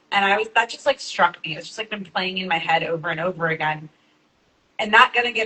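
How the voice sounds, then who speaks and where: Speaking in a plain, everyday voice with an American accent, the speaker keeps a fairly quick pace and ordinary pitch variation. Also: woman. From Texas (small town). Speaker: activist panelist. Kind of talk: panel discussion. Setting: live event with audience.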